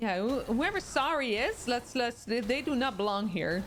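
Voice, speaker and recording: At a fairly slow pace, a woman speaks in a high voice against noticeable background noise. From Netherlands. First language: Dutch. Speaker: streamer. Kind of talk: casual chat. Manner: halting, many fillers.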